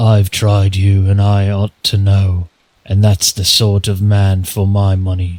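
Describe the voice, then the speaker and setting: A man puts on a growling character voice at a fairly low pitch. He speaks at a fairly slow pace with a monotone, flat intonation. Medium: read story.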